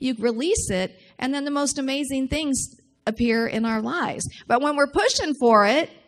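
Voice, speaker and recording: High-pitched female speech, moderately paced, its pitch moving in an ordinary way. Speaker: minister. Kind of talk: sermon.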